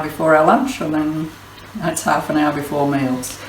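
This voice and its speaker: Over noticeable background noise, a woman speaks in a very deep, low pitch with ordinary pitch variation. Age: 80s. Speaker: home gardener. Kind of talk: casual cooking demonstration to camera.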